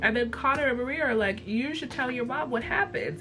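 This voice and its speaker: A woman speaks at a fairly quick pace with a fairly high pitch. Music plays in the background. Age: 20s. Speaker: TV and cartoon reviewer. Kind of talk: casual talk to camera. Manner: casual, profane.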